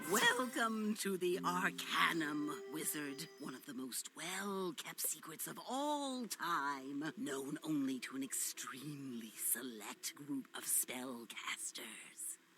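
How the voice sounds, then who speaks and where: A put-on character voice at a middle pitch, very slow in pace with hardly any pauses. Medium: video game. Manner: gruff, impatient.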